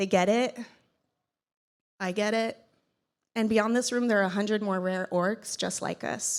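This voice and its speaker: The recording is very clean, with a silent background. Speech moves at a fairly slow pace with fairly even intonation. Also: woman. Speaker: keynote speaker and podcast host. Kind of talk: conference keynote speech. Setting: stage with audience. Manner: voice shakes when speaking about son; emotional, earnest.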